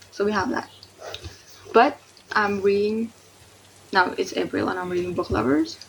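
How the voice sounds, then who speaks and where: A woman speaks at a moderate pace with lively intonation and a non-native accent. Noticeable background noise runs behind her. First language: not English. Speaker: book reviewer. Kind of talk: casual video review. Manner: animated.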